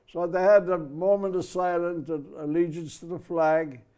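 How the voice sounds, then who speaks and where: Against a quiet background, a man with a high-pitched voice speaks at a fairly slow pace. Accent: Irish. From Ireland. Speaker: merchant mariner, poet. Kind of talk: interview storytelling. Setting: studio.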